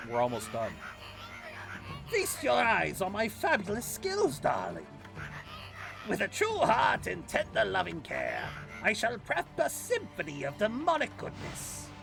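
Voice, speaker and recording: Clear music plays in the background. The speaker uses a put-on character voice at a moderate pace. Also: man. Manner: theatrical, grand.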